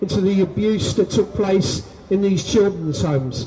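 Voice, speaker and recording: Over noticeable background noise, a man with a London accent talks at a moderate pace in a high pitch with ordinary variation. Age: 60s. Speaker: abuse survivor speaking at a rally. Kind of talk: testimony.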